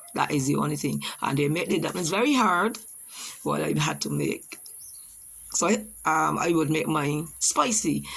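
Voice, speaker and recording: A woman with a Barbadian accent at a moderate pace, with long, frequent pauses. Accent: Barbadian (Bajan). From Barbados. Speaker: teacher. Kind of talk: personal testimony presentation. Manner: halting.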